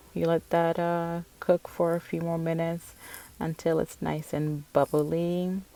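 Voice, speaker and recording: A woman with a non-native accent speaks at fairly low pitch in a dark, mellow tone with a dry, close sound and no echo. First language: not English. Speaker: cooking vlogger. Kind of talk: cooking tutorial. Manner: casual, self-correcting.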